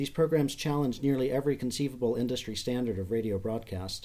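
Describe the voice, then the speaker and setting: A man talks at a very fast pace in a dark, mellow tone, with ordinary pitch variation. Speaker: museum curator introducing podcast. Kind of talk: scripted podcast introduction.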